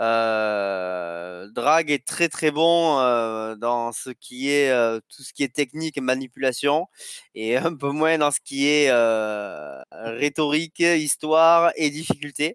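A man with a fairly high voice speaks very slowly, with lively intonation and big swings in loudness. The sound is dry and close with no echo, and the recording is very clean with a silent background. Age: 30s. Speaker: indie game developer. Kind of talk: casual interview.

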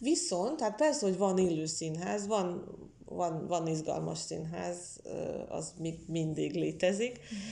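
Very slow speech in a Russian accent, with audible room echo. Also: woman. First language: Russian (speaking Hungarian). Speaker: literary historian and translator. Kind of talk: interview. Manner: halting, many fillers.

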